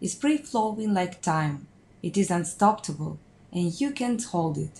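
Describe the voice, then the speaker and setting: A woman speaks at a very slow pace, somewhat breathy. Her intonation is lively. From Ukraine. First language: Russian and Ukrainian. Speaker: student. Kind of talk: scripted narration.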